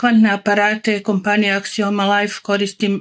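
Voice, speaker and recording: The background is quiet while a woman talks. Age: 60s. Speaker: customer giving a product testimonial. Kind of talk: testimonial talk to camera. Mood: calm, satisfied. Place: home room. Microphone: phone near.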